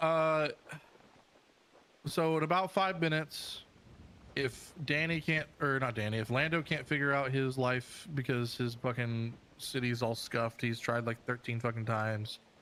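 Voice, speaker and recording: Male voice with a bright, sharp tone, moderate pace and very even loudness on a very clean recording with a silent background. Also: medium pitch for a man, ordinary pitch variation. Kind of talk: casual chat.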